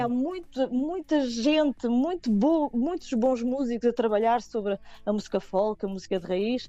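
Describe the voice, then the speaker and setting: At a fairly slow pace, a woman speaks with a fairly high pitch, lively intonation and a dark, mellow tone. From Portugal, Nazaré. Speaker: singer and multi-instrumentalist. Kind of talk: radio interview. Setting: remote call via messaging app.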